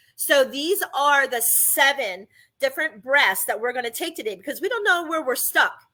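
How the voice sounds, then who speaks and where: On a very clean recording with a silent background, a woman projects a raised, bright, sharp voice at a high pitch, with very wide pitch swings and a moderate pace. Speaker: podcast host. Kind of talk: podcast monologue on breathing and chakras.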